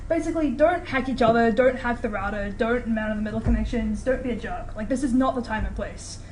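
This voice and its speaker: Talking very fast with hardly any pauses, a woman with a New Zealand accent uses a high voice and ordinary pitch variation against noticeable background noise. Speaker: student lecturer teaching hacking course. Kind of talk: lecture. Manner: casual, filler-heavy.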